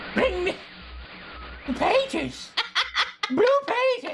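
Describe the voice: Extremely high and very slow, this put-on character voice swings its pitch very widely.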